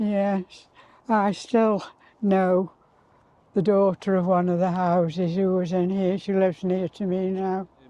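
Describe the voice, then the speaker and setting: In a Potteries accent, the voice moves at a fairly slow pace with a dark, mellow tone and monotone, flat intonation. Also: woman, medium pitch for a woman. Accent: Potteries (North Staffordshire) English. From Tunstall, Stoke-on-Trent, England. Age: 80s+. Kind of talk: reminiscing interview answer.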